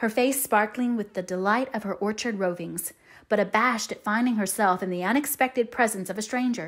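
The plain reading aloud moves through ordinary pitch variation.

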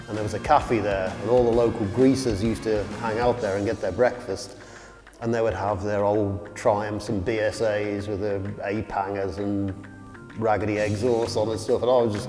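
A man at a fairly low pitch and moderate pace, monotone and flat in intonation, with clear music in the background. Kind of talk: interview answer. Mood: relaxed, reminiscing, light laughs. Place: garage. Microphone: lapel.

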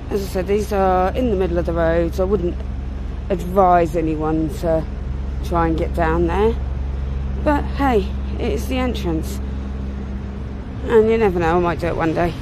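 Amid noticeable background noise, the dry, echo-free voice moves at a moderate pace with long, frequent pauses. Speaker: urban explorer vlogger. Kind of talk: casual vlog chat. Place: street. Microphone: phone near.

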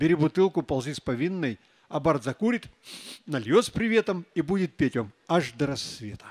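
The voice swings very widely in pitch and moves at a moderate pace. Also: man, fairly high pitch for a man. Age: old. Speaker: poet. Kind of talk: poetry reading. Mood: wry, humorous. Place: stage. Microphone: handheld.

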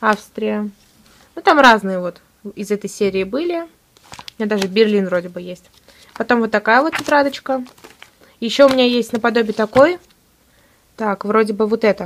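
Over light background noise, a woman with fairly high pitch and lively intonation speaks with long, frequent pauses. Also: moderate pace. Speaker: student video blogger. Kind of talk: casual show-and-tell vlog. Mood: enthusiastic, cheerful. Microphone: phone near.

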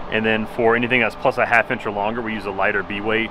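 A man speaks over noticeable background noise. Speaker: factory staff giving tour. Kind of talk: guided tour explanation. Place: factory.

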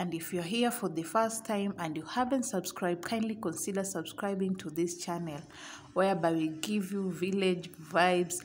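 A woman at a moderate pace, somewhat breathy, with ordinary pitch variation, hardly any pauses and light background noise. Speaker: village vlogger. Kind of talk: casual vlog chat. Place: market.

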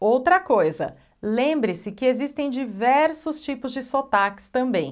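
A woman speaks in a Brazilian accent at a high pitch and a fairly slow pace. Her intonation is lively, and the background is quiet. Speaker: English teacher. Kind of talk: online tutorial. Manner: animated. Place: studio. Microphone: lapel.

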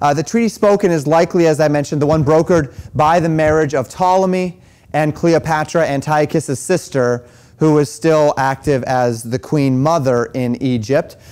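A man talks here at a moderate pace. The rise and fall of his pitch is ordinary. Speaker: pastor teaching a class. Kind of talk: lecture. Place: church. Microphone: lapel.

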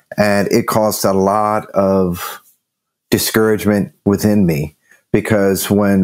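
A man talks in a normal speaking voice at a fairly low pitch. His pace is fairly slow. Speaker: nonprofit ministry CEO. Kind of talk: casual chat.

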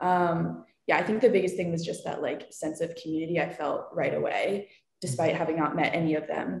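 A woman with an American accent at a fairly quick pace, with audible room echo. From Philadelphia, US. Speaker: college student athlete; panelist. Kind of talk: Q&A panel. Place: home room. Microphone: video call.

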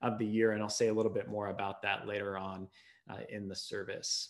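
The speech moves at a fairly quick pace. Behind it, the background is quiet. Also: man. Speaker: pastor. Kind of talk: worship welcome and announcements. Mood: warm, smiling. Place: home room. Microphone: webcam.

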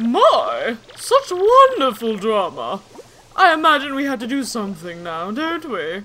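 A put-on character voice, high-pitched and at a fairly slow pace. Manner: dramatic, grandiose, refined.

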